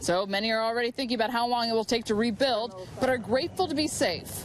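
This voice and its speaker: Speaking at a fairly quick pace, a woman with an American accent has a high pitch. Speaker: TV news anchor and reporter. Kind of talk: TV news field report. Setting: outdoors.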